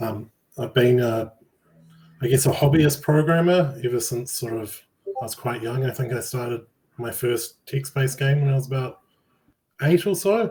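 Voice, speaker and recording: Somewhat breathy with a dark, mellow tone, a man of medium pitch talks at a moderate pace with ordinary pitch variation and long, frequent pauses. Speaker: game project lead. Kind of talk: interview.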